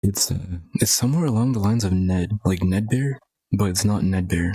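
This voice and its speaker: At a moderate pace, a man speaks with a fairly low pitch, a dark, mellow tone, a somewhat breathy quality and very even loudness. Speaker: gaming streamer. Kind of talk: gameplay commentary. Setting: live stream. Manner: monotone.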